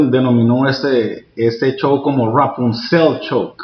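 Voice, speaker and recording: A man talks fairly slowly, with noticeable background noise behind him. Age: 40s. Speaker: jiu-jitsu instructor. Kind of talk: interview. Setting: martial arts academy.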